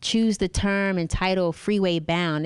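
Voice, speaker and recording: Over a silent background in a very clean recording, a woman with an unremarkable speaking voice talks at a moderate pace with ordinary pitch variation. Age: young. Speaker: TV talk show host. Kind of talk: interview; TV news segment. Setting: on-location TV shoot at a gallery. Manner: casual.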